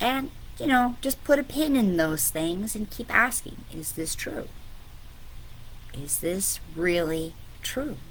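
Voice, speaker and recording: A woman at a fairly high pitch, very slow, with long, frequent pauses, very wide pitch swings and audible room echo. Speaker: spiritual business coach. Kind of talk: online coaching talk. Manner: casual, filler-heavy.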